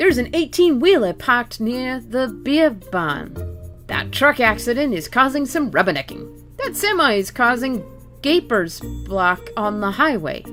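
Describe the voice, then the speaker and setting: Music plays in the background as a woman with an American accent speaks at a fairly slow pace. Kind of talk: casual talk to camera.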